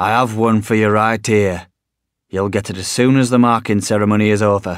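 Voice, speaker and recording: A man puts on a gruff character voice, fairly low and monotone with flat intonation, at a fairly quick pace in a very clean recording with a silent background. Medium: read story.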